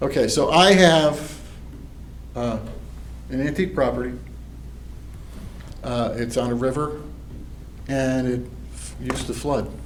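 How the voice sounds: A man talks slowly at medium pitch, with ordinary pitch variation. Long, frequent pauses break up his speech amid audible room echo.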